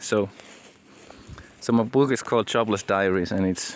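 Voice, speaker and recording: Here a man talks with a Finnish accent. His pitch is fairly low and his pace fairly quick. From Finland. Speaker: aspiring entrepreneur and author, vlogger. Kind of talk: casual vlog monologue. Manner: halting, many repetitions.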